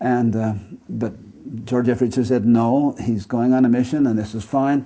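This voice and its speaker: A man with an American accent speaks at a moderate pace in a monotone, flat intonation. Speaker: retiring professor. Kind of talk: lecture.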